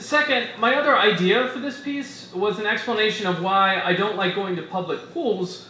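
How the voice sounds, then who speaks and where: A man talks at a high pitch and moderate pace, with hardly any pauses and ordinary pitch variation. Noticeable background noise is present. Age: 30s. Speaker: essayist reading at a live literary event. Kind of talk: reading aloud a humorous personal essay. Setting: stage with audience in a bar.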